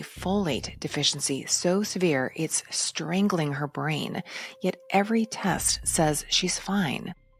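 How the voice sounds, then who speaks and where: The speaker goes at a fairly slow pace with ordinary pitch variation. Music plays in the background. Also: woman. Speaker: doctor and podcast host. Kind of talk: podcast commentary monologue. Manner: dramatic, punchy delivery.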